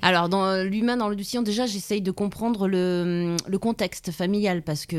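At a fairly slow pace, a woman talks in a normal speaking voice, medium in pitch with ordinary pitch variation. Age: 40s. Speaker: police officer. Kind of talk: interview.

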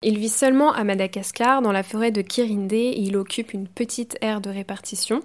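A woman with an ordinary speaking voice, fairly high in pitch and fairly slow, with fairly even intonation, in a very clean recording over a silent background. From Brittany, France. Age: 20s. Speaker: biology student. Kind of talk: scripted narration.

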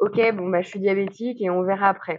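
This woman's voice is medium in pitch. She talks at a moderate speed. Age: 30s. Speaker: pregnant woman with type 1 diabetes. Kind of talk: testimony. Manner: halting.

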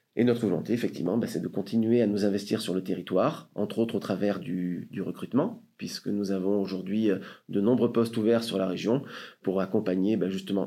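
In a very clean recording with a silent background, a man with a fairly low pitch speaks at a moderate pace with ordinary pitch variation. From France, Marseille. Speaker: sales director of a tech company. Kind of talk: interview. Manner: hesitant, with fillers.

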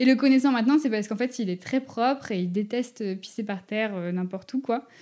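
On a very clean recording with a silent background, a woman talks in a fairly high voice with ordinary pitch variation. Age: 20s. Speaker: dog behaviour consultant. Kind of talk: casual chat. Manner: halting.

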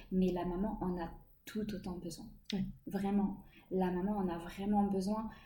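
The speech comes at a fairly slow pace in a flat, monotone intonation, with audible room echo. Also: woman. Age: 30s. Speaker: stay-at-home mother sharing her pregnancy and postpartum experience. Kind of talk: interview testimony.

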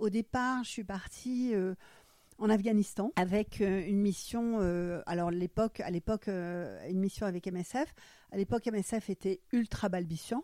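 Her dark, mellow voice sits at a medium pitch with ordinary pitch variation. The woman speaks at a fairly slow pace, and the sound is dry and close with no echo. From Germany, Frankfurt. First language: German (speaking French). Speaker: retired doctor. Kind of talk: interview. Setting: at her home. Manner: hesitant, many fillers.

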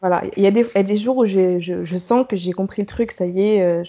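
The delivery comes at a moderate pace with fairly even intonation. It is a normal speaking voice. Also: woman. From Paris region, France. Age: 20s. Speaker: young professional abroad, blogger. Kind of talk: interview.

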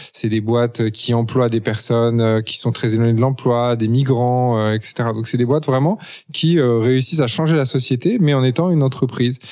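On a very clean recording with a silent background, a man with a medium pitch and a dark, mellow tone talks at a fairly quick pace. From Paris, France. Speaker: entrepreneur and author. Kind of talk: interview. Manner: hesitant, many fillers and repetitions.

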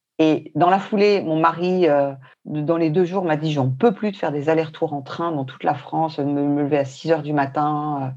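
This woman has a very deep, low pitch. Her intonation is fairly even. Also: moderate pace. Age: 50s. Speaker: traveler. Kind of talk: casual chat.

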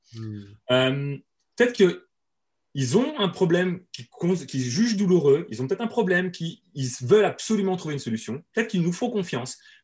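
The speaker talks at a fairly quick pace. Pitch rises and falls in very wide swings. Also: man. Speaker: webinar and marketing trainer. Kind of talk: interview. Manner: fast.

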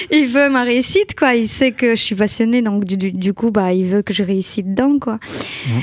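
A woman with a fairly high pitch speaks at a moderate pace with hardly any pauses, over noticeable background noise. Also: ordinary pitch variation. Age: 30s. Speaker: social media influencer and night-shift care assistant. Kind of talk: casual interview chat.

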